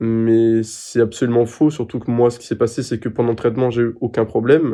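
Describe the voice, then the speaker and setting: A man talks fairly quickly at a medium pitch in a dark, mellow tone, his intonation monotone and flat. His loudness swings widely against a quiet background. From France. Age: 20s. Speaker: patient sharing testimony. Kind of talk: interview answer. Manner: hesitant, emotional.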